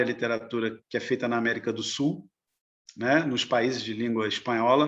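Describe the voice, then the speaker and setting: A man's voice at a moderate pace. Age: 60s. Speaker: novelist. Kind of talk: interview. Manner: halting.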